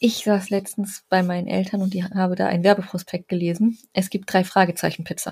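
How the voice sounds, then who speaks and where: On a very clean recording with a silent background, a woman speaks at a fairly quick pace in a somewhat breathy, flat monotone at medium pitch, with hardly any pauses. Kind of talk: casual chat.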